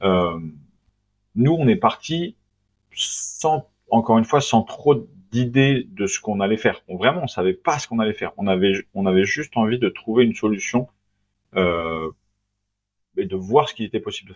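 Pausing long and often, a man speaks at a moderate pace and medium pitch with big swings in loudness. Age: 30s. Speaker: entrepreneur, company founder. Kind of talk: casual interview.

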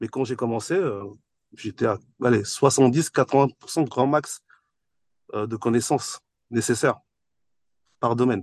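With a medium pitch and ordinary pitch variation, a man talks at a very slow pace with long, frequent pauses, in a dry, close sound with no echo against a quiet background. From France, Paris-area housing estate. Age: 40s. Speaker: entrepreneur and property investor. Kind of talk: podcast interview.

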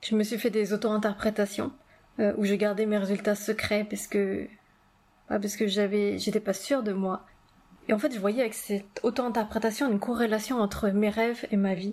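Her voice is fairly high for a woman, and she speaks at a moderate pace with monotone, flat intonation. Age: 30s. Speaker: podcast host, dream coach. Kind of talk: personal monologue.

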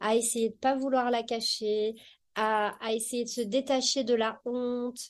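With a high pitch and fairly even intonation, a woman speaks at a very slow pace over a quiet background. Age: 40s. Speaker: personal development practitioner, HPV patient sharing experience. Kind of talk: testimony.

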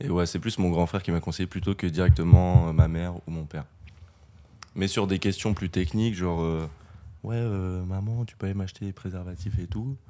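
Fairly even intonation from a man with a very deep, low pitch, at a fairly quick pace. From France, Limoges. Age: 20s. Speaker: student. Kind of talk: casual chat.

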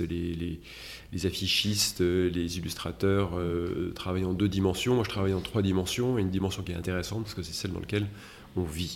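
At a moderate pace, a man speaks. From France, Metz. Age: 50s. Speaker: interior designer. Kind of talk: interview. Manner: halting.

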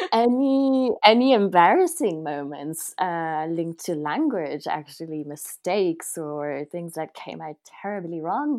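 A woman speaks at a fairly slow pace with hardly any pauses, her pitch swinging very widely and her loudness rising and falling sharply. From France. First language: French. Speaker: podcast host. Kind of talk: interview.

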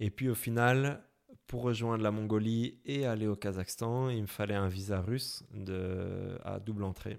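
The speech moves at a fairly slow pace with fairly even intonation, on a very clean recording with a silent background. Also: man. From Belgium, Brussels. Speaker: motorcycle traveller. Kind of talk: interview. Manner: hesitant, many fillers.

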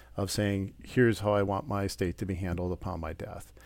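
Speaking at a fairly quick pace, a man with a Wisconsin accent has a fairly low pitch. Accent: Upper Midwest (Wisconsin). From Wisconsin, Port Washington. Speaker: estate planning attorney. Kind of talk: interview.

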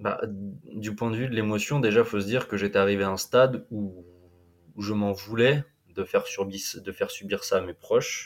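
A man's fairly low voice at a moderate pace, with fairly even intonation, long, frequent pauses, and a very clean recording over a silent background. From western France, Vendée (Atlantic coast). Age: 20s. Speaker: explorer and adventurer. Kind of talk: interview storytelling. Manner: halting, many repetitions and fillers.

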